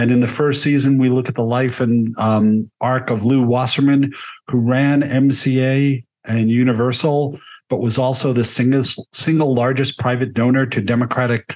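At a moderate pace, a man speaks at medium pitch with very even loudness and monotone, flat intonation. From United States. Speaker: film critic and author. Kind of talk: casual chat.

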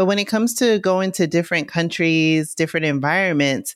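A woman's plain, everyday voice, fairly low in pitch, with lively intonation at a moderate pace, in a dry, close sound with no echo. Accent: American. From US Northeast, New York City (Bronx). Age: 40s. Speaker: travel influencer and digital marketer. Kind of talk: casual interview.

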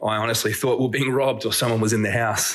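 This man speaks with an Australian accent and fairly even intonation. Noticeable background noise runs underneath. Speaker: listener sending a story. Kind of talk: storytelling. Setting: recorded voice message.

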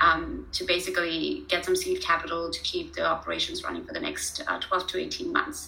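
A woman talks at a fairly quick pace while noticeable noise sounds in the background. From India (Pune). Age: 30s. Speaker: startup founder. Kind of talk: casual interview. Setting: video call.

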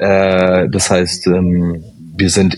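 A man with a very deep, low-pitched voice. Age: 30s. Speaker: startup founder and engineer. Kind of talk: interview.

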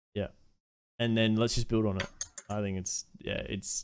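Monotone, flat intonation in an Australian accent. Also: man. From Australia, Adelaide. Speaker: variety streamer and former amateur esports player. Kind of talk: casual chat.

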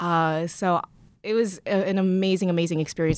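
On a very clean recording with a silent background, a woman speaks in an unremarkable speaking voice at a moderate pace with ordinary pitch variation. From born in Korea, raised partly in Canada. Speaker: founder and CEO of a remote design firm. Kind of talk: casual interview. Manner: laughs often.

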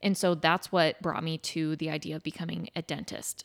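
With an American accent, a woman uses an ordinary speaking voice at fairly low pitch and moderate pace, the sound dry and close with no echo. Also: very clean recording, silent background. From Nebraska. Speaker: dietitian, podcast co-host. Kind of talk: casual chat.

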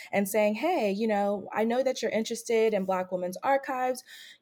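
With a normal speaking voice and fairly high pitch, a woman is heard on a very clean recording with a silent background. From California, Bay Area. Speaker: PhD researcher. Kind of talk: interview.

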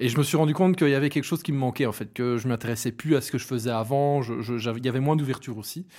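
Very fast and medium-pitched, a man's voice carries a dark, mellow tone on a very clean recording with a silent background. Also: ordinary pitch variation, hardly any pauses. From Belgium, Hainaut. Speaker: event organizer. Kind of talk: casual interview.

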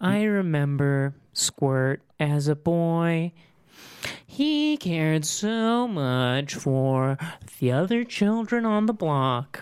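A put-on character voice at middle pitch and a very slow pace. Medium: actual play. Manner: casual, slangy, deadpan.

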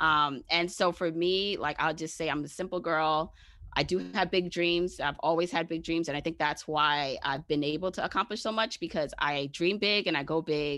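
In an American accent, a normal speaking voice moves at a moderate pace with ordinary pitch variation and hardly any pauses. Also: woman, fairly low pitch for a woman, quiet background. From Brooklyn, New York. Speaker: personal finance expert. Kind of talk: interview.

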